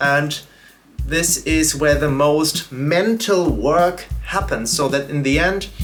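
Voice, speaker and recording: A man with a German accent at a very slow pace, very even in loudness, with music in the background. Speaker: YouTuber and drum educator. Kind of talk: casual vlog narration. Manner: hesitant with fillers.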